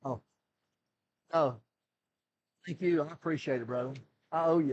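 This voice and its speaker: In a normal speaking voice, fairly high in pitch, a man talks at a moderate pace with ordinary pitch variation. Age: 60s. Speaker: retired pro wrestler. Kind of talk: casual chat.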